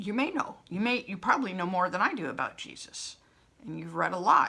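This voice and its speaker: A woman at a medium pitch speaks with very wide pitch swings. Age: 60s. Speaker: spiritual coach and vlogger. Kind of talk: personal vlog monologue. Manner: animated.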